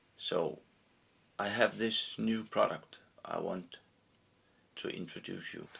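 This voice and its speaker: A man with a non-native accent at a very slow pace, with long, frequent pauses and big swings in loudness. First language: not English. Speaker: fly tyer presenting own product. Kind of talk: product tutorial. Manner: halting.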